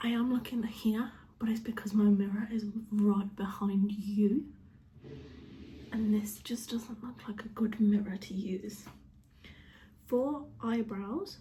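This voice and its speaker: A quiet, somewhat breathy voice with a British accent speaks at a very slow pace in a flat monotone. Long, frequent pauses break it up, and room echo is audible. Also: woman, dark, mellow tone. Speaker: beauty vlogger. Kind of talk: makeup tutorial. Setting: at home, sitting on a chair with dog on lap. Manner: speaking quietly; casual, chatty.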